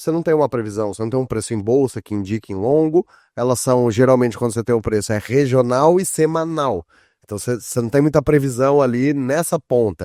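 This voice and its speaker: The voice has a dark, mellow tone and ordinary pitch variation at a fairly quick pace. The sound is dry and close, with no echo. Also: man, medium pitch for a man. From southern Brazil. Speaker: podcast host. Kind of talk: podcast interview.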